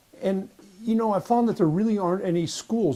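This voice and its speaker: A man with an American accent speaks in a dark, mellow tone. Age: 80s+. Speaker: war veteran and relationship coach. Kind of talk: personal story talk to camera.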